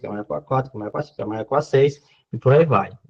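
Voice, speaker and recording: Somewhat breathy, a man's voice sits at a medium pitch with ordinary pitch variation. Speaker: university math lecturer. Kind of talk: online lecture. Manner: fast.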